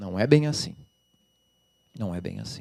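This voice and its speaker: This is a man's voice. He speaks with a Rio de Janeiro accent. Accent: carioca. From Rio de Janeiro, Brazil. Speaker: labour judge and law professor. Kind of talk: lecture. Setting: lecture hall with audience.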